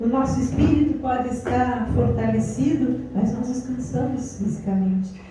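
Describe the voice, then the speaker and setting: The speaker is soft-spoken and talks at a fairly slow pace. Noticeable background noise and audible room echo are present. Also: woman. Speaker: pastor. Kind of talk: sermon. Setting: women's gathering in a house.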